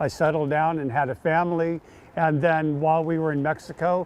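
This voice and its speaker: Noticeable background noise behind a man's fairly high voice at a moderate pace. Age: 60s. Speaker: long-distance walker and vlogger. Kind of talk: interview; casual vlog talk.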